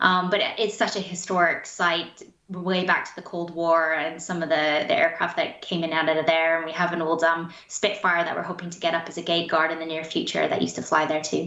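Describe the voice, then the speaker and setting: A woman with a Canadian accent and a fairly low pitch, talking at a fairly quick pace with hardly any pauses and monotone, flat intonation, amid audible room echo and noticeable background noise. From Canada, interior British Columbia. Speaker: spaceport head. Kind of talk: interview.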